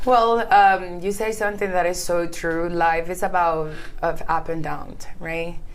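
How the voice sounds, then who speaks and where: A fairly low-pitched woman with a non-native accent and fairly even intonation, speaking at a fairly slow pace amid audible room echo. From Honduras, El Progreso, Yoro. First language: Spanish. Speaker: beauty queen and TV presenter. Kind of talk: interview. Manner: halting.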